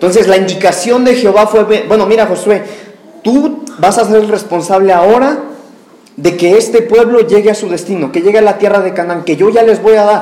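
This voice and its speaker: A man talks at a fairly quick pace in a high voice with ordinary pitch variation, with audible room echo and noticeable background noise. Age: 30s. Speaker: preacher. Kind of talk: sermon.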